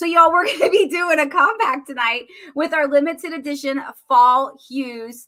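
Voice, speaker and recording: Speaking in a Southern US accent, a woman uses a raised, projected voice. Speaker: makeup seller doing live demo. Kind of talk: live product demo. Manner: casual, chatty.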